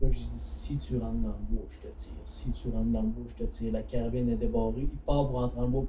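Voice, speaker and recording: A man talks at a fairly quick pace, with audible room echo and noticeable background noise in the recording. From Quebec, Bas-Saint-Laurent (La Pocatière). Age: 20s. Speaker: hunting and fishing store co-owner. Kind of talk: casual chat. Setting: studio.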